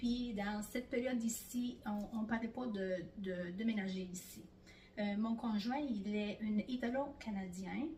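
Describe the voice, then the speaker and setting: Her voice is fairly high-pitched, dark and mellow, somewhat breathy, moving at a very slow pace while the room echo is audible. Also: ordinary pitch variation. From Italy. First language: Italian (speaking French). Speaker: immigrant interviewee, bank employee. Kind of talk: interview. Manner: hesitant, many fillers.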